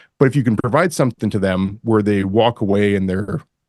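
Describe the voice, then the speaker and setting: With a Canadian accent, a man in a plain, everyday voice speaks at a moderate pace and medium pitch, the sound dry and close with no echo against a quiet background. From Canada. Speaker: commercial real estate broker. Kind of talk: podcast interview.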